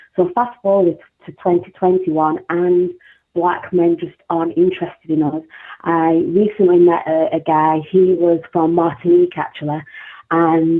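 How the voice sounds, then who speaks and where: This is a woman speaking. Her pace is fairly slow. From northern England, South Yorkshire (Sheffield). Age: 40s. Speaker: caller. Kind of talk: call-in talk show comment.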